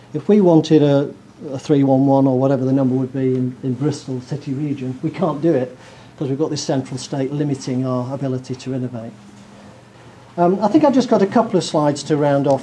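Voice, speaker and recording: Fairly quick and fairly high-pitched, a man speaks with a northern English accent. His pitch varies in an ordinary way. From northern England. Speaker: professor. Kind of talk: lecture.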